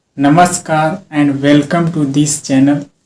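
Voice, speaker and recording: The speaker has an Indian accent. The intonation is monotone and flat. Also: man. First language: Hindi. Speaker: English teacher. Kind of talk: self-talk speaking practice.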